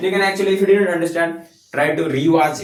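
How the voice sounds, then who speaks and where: Room echo is audible as a man speaks with a non-native accent. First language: not English. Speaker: physics content creator. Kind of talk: tutorial. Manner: halting.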